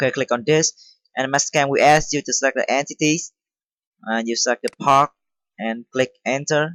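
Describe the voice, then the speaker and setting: A man with a non-native accent at a fairly high pitch, ordinary pitch variation and a moderate pace, in a dry, close recording with no echo. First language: not English. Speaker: CNC machining tutorial maker. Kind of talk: software tutorial. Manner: halting, many fillers.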